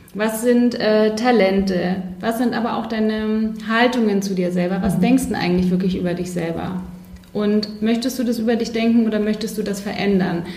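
This woman's pitch sits fairly high, and her intonation stays fairly even at a moderate pace. Audible room echo and noticeable background noise are present. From Bavaria, Neuburg an der Donau. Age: 30s. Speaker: life coach. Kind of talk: podcast interview.

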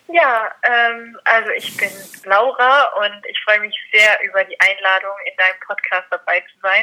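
A woman with a normal speaking voice talks at a fairly slow pace and a fairly high pitch. Her pitch variation is ordinary, and her loudness swings widely. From Austria. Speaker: dog trainer. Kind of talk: interview.

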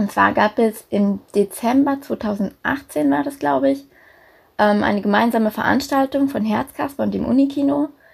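Her voice somewhat breathy and fairly high, a woman talks at a moderate pace with very wide pitch swings. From Germany, Berlin. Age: 20s. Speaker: student volunteer. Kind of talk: casual interview. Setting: video call from home.

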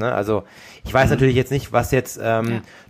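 A man speaks with a fairly low pitch. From Germany, Darmstadt (Hesse). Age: 30s. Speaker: professional triathlete, podcast co-host. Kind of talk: casual chat.

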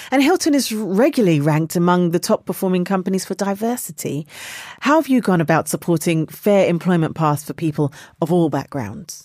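At a fairly quick pace, a woman talks in an unremarkable speaking voice. Her pitch is fairly low. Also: lively intonation. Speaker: podcast host. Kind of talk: interview.

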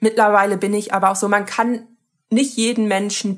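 A woman with an unremarkable speaking voice keeps her intonation fairly even. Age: 20s. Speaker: activist. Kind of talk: interview.

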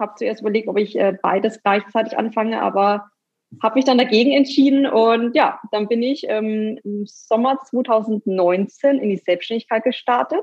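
Using a plain, everyday voice, the speaker keeps a moderate pace and ordinary pitch variation. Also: woman, fairly high pitch for a woman. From Bavaria, near Nuremberg (Franconia). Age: 30s. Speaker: graphic designer. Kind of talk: interview.

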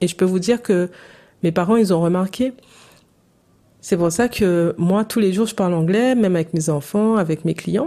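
A woman speaks at a moderate pace with a medium pitch and a dark, mellow tone. Her pitch varies in an ordinary way, and she leaves long, frequent pauses. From Saint-Martin, Caribbean. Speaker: English coach. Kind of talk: solo podcast monologue, coaching pitch.

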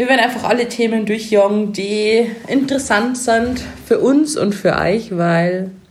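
A woman's fairly high voice with a slight Bavarian accent, fairly slow pace, ordinary pitch variation, very even loudness and audible room echo. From Chiemgau, Bavaria. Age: 20s. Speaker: podcast co-host, cosmetician and make-up artist. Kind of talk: casual chat. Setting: sitting on her cosmetics treatment bed, drinking sparkling wine.

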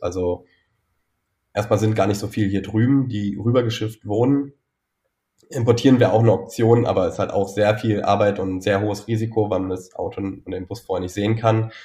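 Somewhat breathy, a man speaks with fairly low pitch at a fairly quick pace. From Saxony-Anhalt, Altmark, village. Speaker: founder of a bus travel project. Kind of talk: interview.

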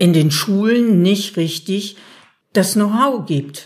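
The speech moves at a very slow pace with ordinary pitch variation. The voice is somewhat breathy. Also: woman. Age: 60s. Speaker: self-help group member. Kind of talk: interview.

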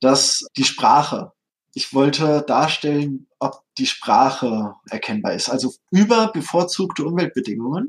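This is a man with an ordinary speaking voice. His pitch is fairly high, with ordinary pitch variation. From Hesse, Germany. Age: 30s. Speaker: tabletop game designer. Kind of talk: interview.

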